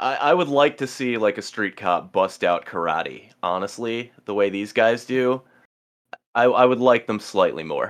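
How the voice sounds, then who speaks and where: A man with an American accent speaks at a fairly slow pace and medium pitch. He has an unremarkable speaking voice with lively intonation. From New Jersey. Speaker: podcast guest, streamer. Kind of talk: casual chat.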